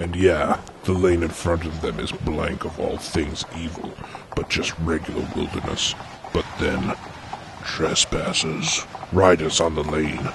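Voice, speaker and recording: Over clear background noise, a man talks fairly slowly at a very deep, low pitch. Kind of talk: comic screenplay narration. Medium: audio drama. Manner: deadpan, mock-dramatic.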